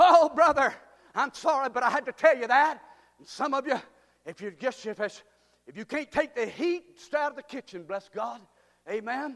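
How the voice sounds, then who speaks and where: A man speaks at an extremely high pitch in an animated, stern tone. His loudness swings widely. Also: ordinary pitch variation, moderate pace. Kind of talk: sermon. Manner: fervent and exultant, punchy repetition building to shouts.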